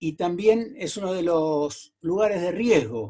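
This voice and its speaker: A man speaks with lively intonation and a fairly high pitch. His tone is dark and mellow. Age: 70s. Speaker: TV journalist. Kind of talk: interview.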